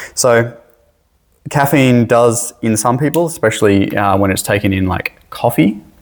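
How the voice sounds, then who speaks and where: Speaking with an Australian accent, a man at medium pitch shows ordinary pitch variation. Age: 40s. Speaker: high school teacher. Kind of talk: lecture. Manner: casual, conversational.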